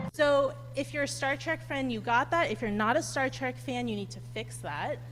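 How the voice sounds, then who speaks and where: There is audible room echo. A woman talks at a moderate pace. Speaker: astronomy PhD student giving public lecture. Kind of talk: public lecture. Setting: lecture hall with live audience. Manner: loud; animated.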